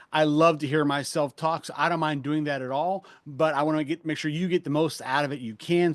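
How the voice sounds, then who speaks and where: A man talks with fairly even intonation in a dry, close sound with no echo and a quiet background. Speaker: fundraising trainer. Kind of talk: webinar presentation. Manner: fast.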